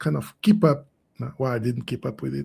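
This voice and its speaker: A man with a Portuguese accent talks in a somewhat breathy voice. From Portugal. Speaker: SEO consultant. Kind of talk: casual interview. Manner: halting.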